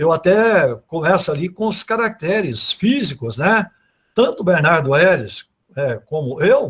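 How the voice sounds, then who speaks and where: Pitch swings very widely as the voice moves at a fairly slow pace. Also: man, high pitch for a man. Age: 70s. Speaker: speaker on literature and Portuguese grammar. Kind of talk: online talk / lecture. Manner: hesitant, with many repetitions and fillers.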